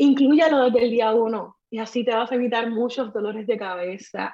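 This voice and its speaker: A woman's fairly high voice at a fairly slow pace. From Puerto Rico. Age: 30s. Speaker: makeup artist. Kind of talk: testimony.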